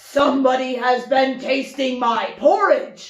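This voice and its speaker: A woman does a growling put-on character voice, pitched high, at a fairly slow pace with a slight echo. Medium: read story. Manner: slow, heavy, grumbling.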